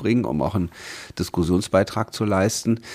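With a very deep, low pitch and ordinary pitch variation, a man speaks with vocal fry. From Berlin. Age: 40s. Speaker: state politician. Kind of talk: interview. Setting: office.

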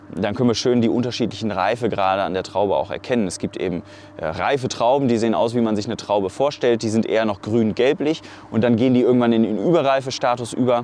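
A man speaks at a very fast pace with a medium pitch and ordinary pitch variation, over noticeable background noise. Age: 30s. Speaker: wine cellar master, former winemaker. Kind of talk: casual interview. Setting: outdoors on a vineyard. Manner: hesitant, with many fillers.

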